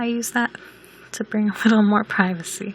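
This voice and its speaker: A woman with a fairly high voice speaks over noticeable background noise. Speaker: video game builder. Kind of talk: casual gameplay voice-over.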